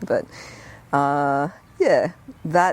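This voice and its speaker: A woman's very deep, low voice with an Australian accent and fairly even intonation. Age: 40s. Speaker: architect and musician. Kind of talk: casual chat.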